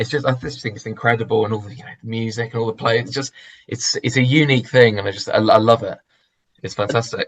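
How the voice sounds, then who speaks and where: In a London accent, the speaker talks at a very fast pace in a somewhat breathy voice with fairly even intonation. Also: man, medium pitch for a man, big swings in loudness. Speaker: church member. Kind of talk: interview. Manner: halting.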